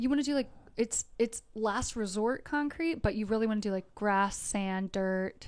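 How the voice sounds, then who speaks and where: An unremarkable speaking voice from a woman with an American accent, fairly high in pitch, with ordinary pitch variation at a moderate pace. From US Delaware. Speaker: spiritual mentor. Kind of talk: casual interview chat.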